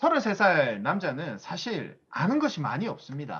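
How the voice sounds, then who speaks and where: In a raised, projected voice, a man speaks at a moderate pace, high in pitch, with a bright, sharp tone. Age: 30s. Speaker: business seminar speaker. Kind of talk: motivational lecture.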